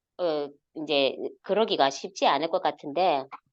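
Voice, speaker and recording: A woman talks at a very slow pace in a strong Gyeongsang accent. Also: quiet background. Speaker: network marketing leader. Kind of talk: online motivational talk. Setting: video call. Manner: hesitant, many fillers.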